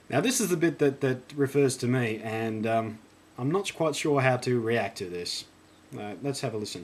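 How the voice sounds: A man with an Australian accent speaks at a moderate pace with lively intonation. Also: medium pitch for a man.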